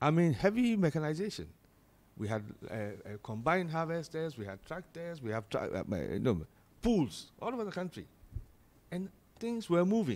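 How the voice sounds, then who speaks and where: At a fairly high pitch, a man speaks at a moderate pace with very wide pitch swings and long, frequent pauses. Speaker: political panelist. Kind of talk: heated debate. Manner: animated. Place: studio. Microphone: studio mic.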